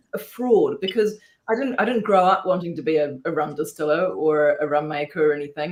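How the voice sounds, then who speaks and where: A woman talks very fast in an Australian accent, with lively intonation. Noticeable background noise runs underneath. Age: 40s. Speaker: rum distiller, distillery founder. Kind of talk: casual chat.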